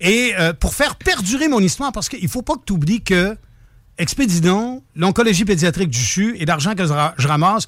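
A man with a high voice speaks at a fairly quick pace, his pitch swinging very widely. The recording is very clean, with a silent background. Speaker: charity event organizer. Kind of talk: interview.

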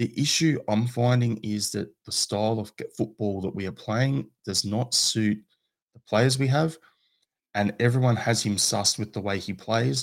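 A man with an Australian accent speaks in a fairly low pitch with ordinary pitch variation. The recording is very clean, with a silent background. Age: 40s. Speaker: football podcaster. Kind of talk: casual chat.

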